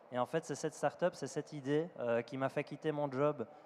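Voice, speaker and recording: Intonation remains fairly even. The delivery is fairly quick. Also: man. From Belgium. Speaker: startup executive. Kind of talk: panel discussion.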